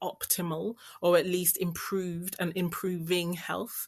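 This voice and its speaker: In a London accent, a woman speaks at a fairly low pitch with monotone, flat intonation. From London, England. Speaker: business strategist and financial coach. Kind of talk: podcast interview.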